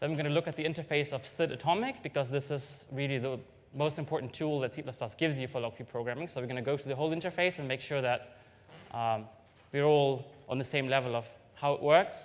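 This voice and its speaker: A man with a non-native accent talks very fast. His pitch is fairly high and his intonation fairly even. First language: not English. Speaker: software developer giving a conference talk. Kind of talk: technical conference talk. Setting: stage with audience. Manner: hesitant, many fillers.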